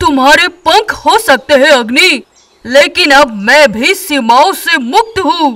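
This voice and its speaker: Someone uses a put-on character voice, pitched high, at a fairly slow pace. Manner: protective, resolute, commanding.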